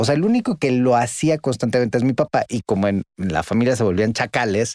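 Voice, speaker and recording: A man's normal speaking voice at a medium pitch, ordinary pitch variation, very even loudness and a fairly quick pace, dry and close with no echo. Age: 50s. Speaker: podcast co-host. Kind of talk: casual conversation.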